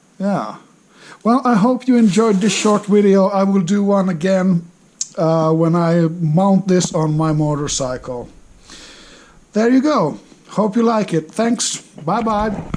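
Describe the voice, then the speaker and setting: A man with a Finnish accent talks fairly slowly in a high pitch, his loudness very even. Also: ordinary pitch variation. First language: non-English. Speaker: motorcycle hobbyist. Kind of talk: casual unboxing talk to camera. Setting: crackling background noise.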